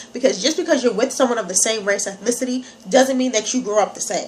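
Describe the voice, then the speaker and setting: With an American accent, a woman talks very fast in an animated tone at a high pitch, with noticeable background noise behind her. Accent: slight country accent at times. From New York. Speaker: vlogger. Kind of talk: casual vlog.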